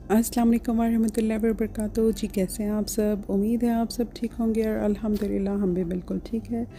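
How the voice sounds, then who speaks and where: A woman's fairly high voice at a moderate pace, flat and monotone, with hardly any pauses. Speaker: home vlogger, homemaker. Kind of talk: vlog voice-over narration. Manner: casual, chatty.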